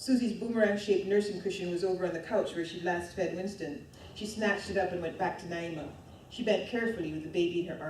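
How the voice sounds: The recording features a natural reading voice. Pitch moves up and down in an ordinary way.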